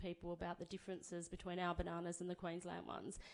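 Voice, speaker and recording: A woman with an Australian accent. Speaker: banana grower speaking for a farming cooperative. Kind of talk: conference talk. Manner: fast.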